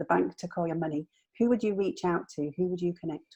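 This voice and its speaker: In a northern English accent, a woman speaks at a fairly low pitch. Her tone is dark and mellow. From northern England. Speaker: midlife strategist. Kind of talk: interview chat. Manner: halting, with fillers.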